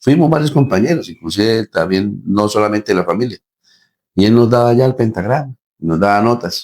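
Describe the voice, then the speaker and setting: Lively intonation marks a man's medium-pitched, normal speaking voice. He keeps a moderate pace and very even loudness. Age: 60s. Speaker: band musician and director. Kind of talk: interview.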